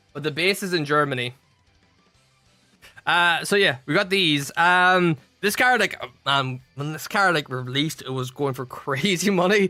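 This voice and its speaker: A man with an Irish accent, a bright, sharp tone and fairly high pitch, at a moderate pace with ordinary pitch variation. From Ireland. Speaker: streamer. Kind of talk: live stream chat. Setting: live stream with music playing. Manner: casual, halting with repetitions.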